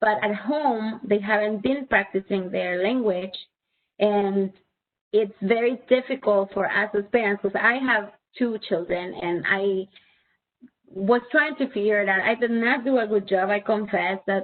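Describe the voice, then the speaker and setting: Woman at a medium pitch, fairly slow pace, ordinary pitch variation. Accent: Spanish. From Spanish-speaking country. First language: Spanish. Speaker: presenter for parents. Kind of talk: webinar presentation.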